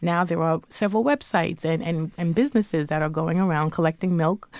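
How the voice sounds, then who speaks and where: A woman with a fairly low pitch and a dark, mellow tone speaks with ordinary pitch variation in a very clean recording with a silent background. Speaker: journalist and author. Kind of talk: interview.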